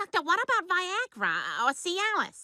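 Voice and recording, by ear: A female-sounding cartoonish character voice speaks at a moderate pace with an extremely high pitch.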